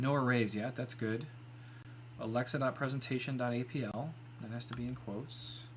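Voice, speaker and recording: Mumbling with vocal fry, a man speaks at a fairly quick pace and medium pitch in a monotone, flat intonation. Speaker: live-streaming software developer. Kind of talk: live coding stream. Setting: live stream. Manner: quiet when focused.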